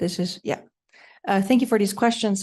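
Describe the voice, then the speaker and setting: The speaker has a Swiss German accent and fairly even intonation. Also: woman. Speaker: panelist, design researcher. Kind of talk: conference panel Q&A.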